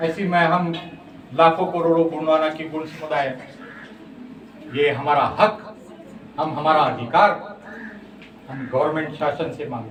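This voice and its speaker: A man's fairly high voice with ordinary pitch variation and big swings in loudness, broken by long, frequent pauses, with audible room echo and noticeable background noise. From Maharashtra, India. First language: Gondi (speaking Hindi). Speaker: Gond community activist. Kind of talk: interview / speech on language rights. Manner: impassioned.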